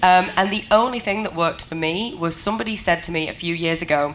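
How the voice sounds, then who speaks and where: A woman talks at a moderate pace with a medium pitch and ordinary pitch variation. Noticeable background noise runs under her voice. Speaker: panel moderator. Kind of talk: panel discussion. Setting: conference stage with audience.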